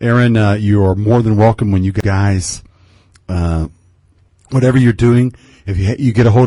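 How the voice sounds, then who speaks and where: With an American accent and a dark, mellow tone, the speaker moves at a fairly quick pace with ordinary pitch variation. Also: man. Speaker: radio host. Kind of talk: radio interview. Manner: hesitant, many filler words.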